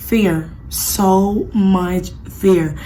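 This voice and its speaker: Audible room echo and noticeable background noise surround a woman whose fairly low pitch shows ordinary pitch variation. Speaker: small business owner vlogger. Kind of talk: casual vlog update. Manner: animated.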